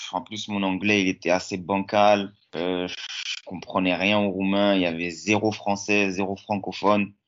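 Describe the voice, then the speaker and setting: A man speaks in a flat monotone with a fairly low pitch. His pace is fairly slow. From France, Lyon. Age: 20s. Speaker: professional footballer. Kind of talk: interview. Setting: at home.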